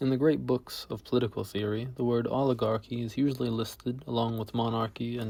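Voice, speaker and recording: A man talks at a very fast pace in a medium pitch. His voice is somewhat breathy, with a monotone, flat intonation. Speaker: amateur essay reader. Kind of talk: essay reading. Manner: occasional stutters and mispronunciations.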